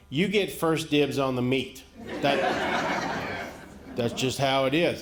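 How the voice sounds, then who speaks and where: A man talks at a very slow pace with a fairly high pitch. Noticeable background noise runs underneath. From rural America. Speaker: stand-up comedian. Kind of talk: stand-up comedy set.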